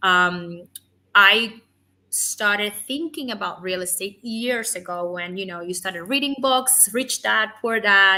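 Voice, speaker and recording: A woman's bright, sharp tone, fairly slow, with a Spanish accent. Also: medium pitch for a woman, ordinary pitch variation, big swings in loudness, very clean recording, silent background. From Cuba. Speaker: physician assistant and real estate lender. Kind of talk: interview.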